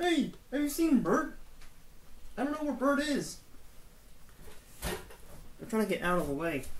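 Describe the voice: A put-on character voice at high pitch, fairly slow with long, frequent pauses, over clear background noise.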